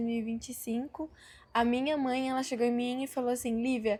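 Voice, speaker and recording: Against a silent background in a very clean recording, a woman with a high pitch and a dark, mellow tone speaks in a monotone, flat intonation. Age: 20s. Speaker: missionary performing artist. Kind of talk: testimony. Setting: group interview.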